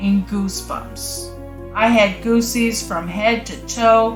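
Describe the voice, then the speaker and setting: The woman speaks at a very slow pace. Music plays in the background. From Cape Breton, Nova Scotia, Canada. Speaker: vlogger. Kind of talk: casual storytelling to camera.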